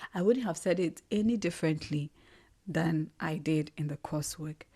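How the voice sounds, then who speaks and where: A dark, mellow, somewhat breathy voice with a Ghanaian accent, ordinary pitch variation and a moderate pace, on a very clean recording with a silent background. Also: woman, fairly low pitch for a woman. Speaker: podcast host. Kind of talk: solo reflective monologue.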